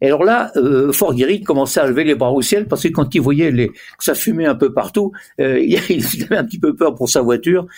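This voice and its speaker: This man's fairly high voice has lively intonation, very even loudness and a moderate pace. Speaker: former motorsport tyre manager. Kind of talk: interview. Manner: halting.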